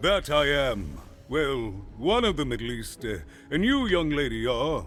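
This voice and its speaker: Over clear background music, a man uses a put-on character voice with a fairly high pitch and a fairly slow delivery. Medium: video game.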